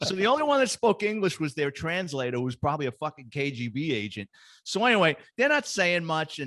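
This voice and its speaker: A man with a New York accent talks very fast in a fairly high pitch, his voice swinging very widely up and down. The tone is bright and sharp, and the background is quiet. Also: dry, close sound with no echo. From New York, the Bronx. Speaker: retired police detective. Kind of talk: casual chat, storytelling.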